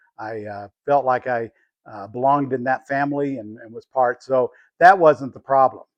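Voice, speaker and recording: In a plain, everyday voice, a man of medium pitch speaks at a moderate pace, with ordinary pitch variation and big swings in loudness. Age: 60s. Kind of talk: personal reflection to camera.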